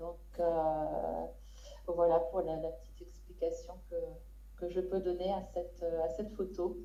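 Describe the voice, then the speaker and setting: A woman talks with long, frequent pauses. Room echo is audible, and there is noticeable background noise. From western France, Saint-Nazaire area. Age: 50s. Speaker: photographer, prize winner. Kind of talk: prize acceptance speech. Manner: halting, many hesitations.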